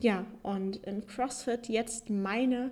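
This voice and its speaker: This woman speaks in a dark, mellow tone with ordinary pitch variation. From Hesse, Germany (Darmstadt). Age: 20s. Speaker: podcast host, former handball player. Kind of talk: personal story monologue. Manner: hesitant with many fillers.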